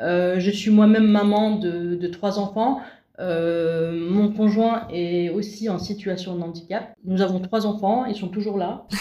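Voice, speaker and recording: Speaking at a very slow pace, a woman with a dark, mellow tone keeps a medium pitch and fairly even intonation amid audible room echo. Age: 40s. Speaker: visual impairment awareness facilitator. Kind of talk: interview.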